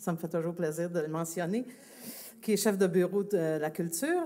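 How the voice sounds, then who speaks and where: Her tone is dark and mellow, and this woman speaks at a fairly slow pace. Pitch variation is ordinary. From Quebec, Longueuil. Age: 60s. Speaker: festival organization president. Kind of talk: public speech. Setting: outdoor public event, broadcast live on radio. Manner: hesitant, many fillers.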